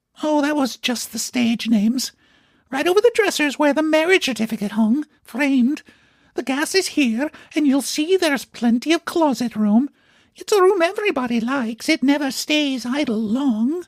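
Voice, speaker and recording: A man uses a put-on character voice at an extremely high pitch. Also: moderate pace. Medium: read story. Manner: wheedling, chatty.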